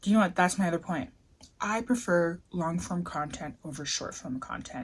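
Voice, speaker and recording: A woman of medium pitch sounds somewhat breathy, her pitch varying in an ordinary way. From Canada. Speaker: vlogger. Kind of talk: casual vlog monologue. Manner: casual, filler-heavy.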